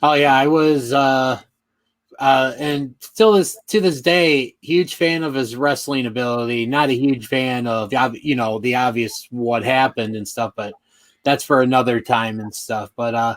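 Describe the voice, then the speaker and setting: The speaker is a man with an American accent and a plain, everyday voice, pitched in the middle range. He speaks at a fairly slow pace with ordinary pitch variation. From Chicago area, Illinois. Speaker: podcast host. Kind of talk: interview podcast.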